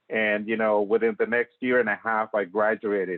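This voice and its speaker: With a Spanish accent, a man speaks at a medium pitch. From Mexico. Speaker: green building professional. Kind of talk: talk.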